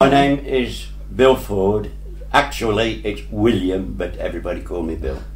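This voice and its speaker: A man at a moderate pace, with audible room echo. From English Midlands, Atherstone, Warwickshire. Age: 80s+. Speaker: local resident sharing memories. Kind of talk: oral history interview. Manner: hesitant, with fillers.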